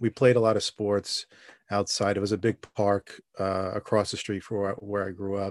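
A man with a New York accent speaks at a fairly low pitch and a fairly quick pace. The sound is dry and close, with no echo. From New York City (Staten Island). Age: 40s. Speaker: podcast guest. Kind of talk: casual interview. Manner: halting.

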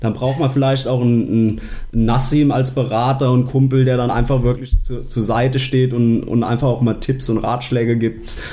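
Against noticeable background noise and audible room echo, a man speaks at medium pitch and moderate pace with monotone, flat intonation. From Germany, Koblenz area. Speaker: sports podcast co-host. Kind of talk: casual chat.

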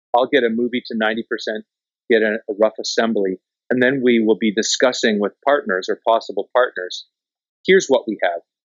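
A man has a normal speaking voice with a Canadian accent. His pitch varies in an ordinary way. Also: medium pitch for a man, moderate pace. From Canada, rural southwestern Ontario. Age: 50s. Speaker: documentary filmmaker. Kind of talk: interview.

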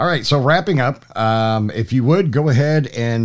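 With noticeable background noise around him, a man talks in lively intonation. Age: 50s. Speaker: podcast host. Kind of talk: interview conversation; podcast outro.

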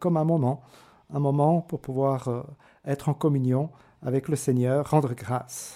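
Heard in a very clean recording with a silent background, a man with a dark, mellow tone and fairly high pitch speaks at a moderate pace. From Switzerland, Fribourg canton (Rue). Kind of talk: radio interview about vocation. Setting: radio studio. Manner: halting, many repetitions.

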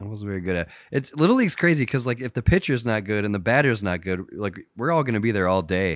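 An American-accented man talks very fast in a fairly low voice with lively intonation. The recording is very clean, with a silent background. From US Midwest. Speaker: podcast co-host. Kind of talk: casual chat.

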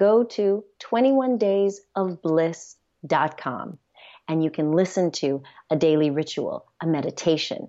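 Here a woman with an American accent has an ordinary speaking voice at medium pitch. Her intonation is lively. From United States. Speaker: physician and sex educator. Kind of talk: interview.

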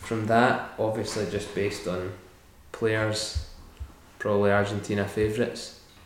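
Audible room echo surrounds a man of fairly low pitch who speaks at a moderate pace with monotone, flat intonation. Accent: Scottish. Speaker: podcast host. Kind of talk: casual chat.

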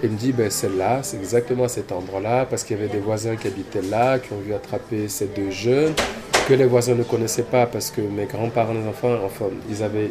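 Against noticeable background noise, a man speaks fairly quickly at a fairly low pitch with fairly even intonation. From Cameroon. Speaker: dancer and choreographer. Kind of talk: interview conversation. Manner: halting, many repetitions and fillers.

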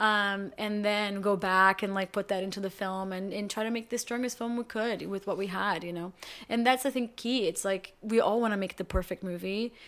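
This woman talks at a moderate pace with a Portuguese accent. Her medium-pitched voice keeps a fairly even intonation. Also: very clean recording, silent background. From Brazil. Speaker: actor and filmmaker. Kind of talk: casual chat.

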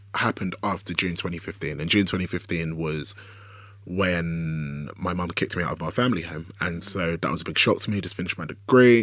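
Delivery stays at a moderate pace. The voice is in a London accent. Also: man. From South London (Woolwich), Nigerian heritage. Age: 20s. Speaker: writer and director. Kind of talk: casual interview chat.

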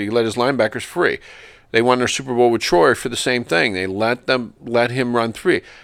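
On a very clean recording with a silent background, a man of medium pitch speaks at a moderate pace in a normal speaking voice. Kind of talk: casual chat.

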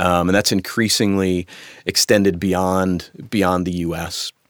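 The recording is very clean, with a silent background and a dry, close sound with no echo. The speaker has an American accent. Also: man. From United States. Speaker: investment stewardship officer at an asset manager. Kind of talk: podcast interview. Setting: recording studio.

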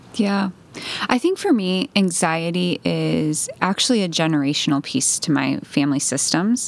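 A woman's fairly low voice with lively intonation and very even loudness, at a moderate pace, amid noticeable background noise. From Puerto Rico. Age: 30s. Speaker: young adult pastor. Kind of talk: casual chat.

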